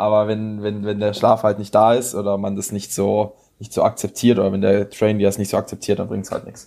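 A man's fairly low, dark, mellow voice at a fairly quick pace, monotone and flat, with big swings in loudness. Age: 20s. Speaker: powerlifter and strength coach. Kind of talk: casual interview.

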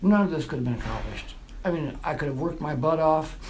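Audible echo from the room hangs on a man's voice as he talks. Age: 50s. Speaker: formerly homeless veteran. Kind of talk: personal testimony. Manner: halting.

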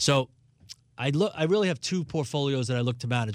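A plain, everyday voice at a fairly quick pace, with an American accent. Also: man. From New York City, Brooklyn. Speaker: financial advisor and radio host. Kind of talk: radio talk show on investing.

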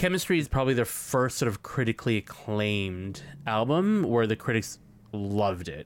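At a moderate pace, a man speaks in an ordinary speaking voice with lively intonation. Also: medium pitch for a man. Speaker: podcast host. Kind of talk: casual chat. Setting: studio. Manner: excitable.

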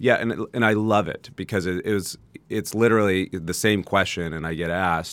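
Here a man talks in a plain, everyday voice at a fairly low pitch with fairly even intonation. His pace is moderate, and the recording is very clean with a silent background. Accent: American. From US West Coast, San Jose, California. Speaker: entrepreneur. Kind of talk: casual chat. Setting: studio.

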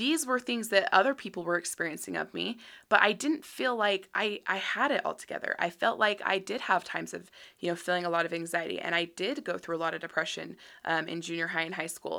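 Recorded very cleanly against a silent background, a woman with an American accent speaks at a fairly quick pace in a medium-pitched, bright, sharp voice with lively intonation. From Utah. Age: 30s. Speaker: podcast host. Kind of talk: monologue. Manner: casual, many fillers.

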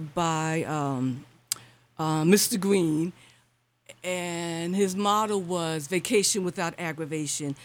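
With an American accent, a woman speaks at a fairly slow pace in an ordinary speaking voice, medium in pitch with ordinary pitch variation. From Brooklyn, New York (Bedford-Stuyvesant). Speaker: local jazz historian and preservation advocate. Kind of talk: radio interview.

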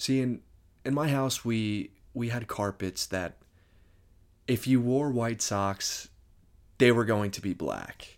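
Over a very clean recording with a silent background, a man with an American accent speaks at a medium pitch and a very slow pace, with long, frequent pauses. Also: ordinary pitch variation. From New Jersey (Moorestown, near Philadelphia). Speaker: podcast host. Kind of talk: personal storytelling monologue.

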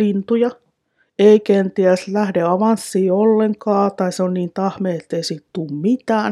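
Speaking at a very slow pace with fairly even intonation, a woman has a dark, mellow tone at medium pitch, the sound dry and close with no echo. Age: 40s. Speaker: dog trainer. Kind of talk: solo podcast monologue.

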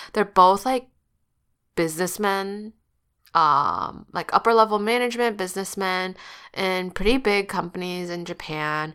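A woman talks in an ordinary speaking voice, medium in pitch with ordinary pitch variation and a fairly slow pace. The recording is very clean, with a silent background. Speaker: podcast co-host; English tutor. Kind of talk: casual chat.

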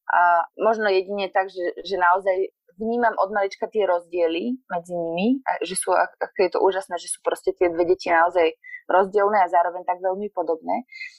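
At a moderate pace and medium pitch, a woman talks in a plain, everyday voice with fairly even intonation. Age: 30s. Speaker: poet. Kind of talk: casual chat.

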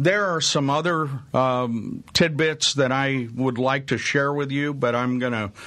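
Speech moves fairly slowly. Its pitch rises and falls normally. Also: man. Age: 60s. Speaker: radio host. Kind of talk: talk radio interview. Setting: radio studio.

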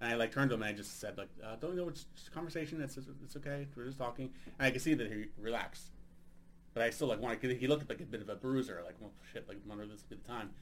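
A medium-pitched man with an American accent at a very fast pace, with ordinary pitch variation and big swings in loudness. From United States. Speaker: podcast host and stand-up comedian. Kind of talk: casual interview chat.

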